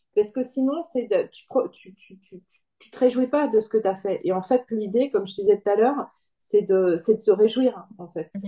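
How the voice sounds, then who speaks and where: A woman talks at a moderate pace in a fairly high pitch, with ordinary pitch variation. Her tone is dark and mellow, somewhat breathy, with big swings in loudness. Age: 50s. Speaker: coaching client, part-time employee and self-employed. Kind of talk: interview testimony. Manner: hesitant, many fillers and repetitions.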